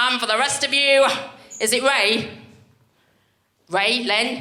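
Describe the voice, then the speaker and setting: A woman with a Birmingham accent speaks very slowly in a high voice, her loudness very even, with audible room echo. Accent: Birmingham (Brummie) English. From Birmingham, English Midlands. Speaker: stand-up comedian. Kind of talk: stand-up. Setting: stage with audience. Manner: animated.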